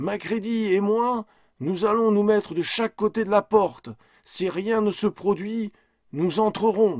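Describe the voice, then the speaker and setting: A man in a put-on character voice speaks at a fairly slow pace, his high pitch raised and projected. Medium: read story. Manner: terse, urgent.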